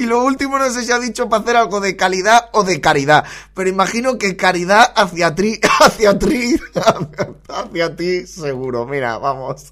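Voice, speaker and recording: Over noticeable background noise, a man with a high pitch speaks at a moderate pace in an animated tone, his pitch swinging very widely. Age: 40s. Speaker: podcast host. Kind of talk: casual comedic monologue. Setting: home studio at computer.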